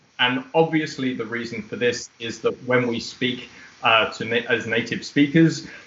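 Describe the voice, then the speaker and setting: Audible room echo surrounds a man who talks at medium pitch and a moderate pace, his intonation fairly even. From Australia. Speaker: ESL teacher trainer. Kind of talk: webinar presentation. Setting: video call. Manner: formal. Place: home room. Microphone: webcam.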